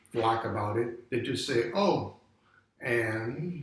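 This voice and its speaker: Amid noticeable background noise, a man talks at a very slow pace with lively intonation. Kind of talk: interview answer. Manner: hesitant, conversational.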